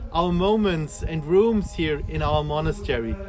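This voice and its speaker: With a German accent, a man speaks at a very slow pace. Noticeable background noise runs underneath. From southern Germany, near Stuttgart. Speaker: monk and priest, tour guide. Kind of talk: guided tour. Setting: indoors and outdoors at a monastery.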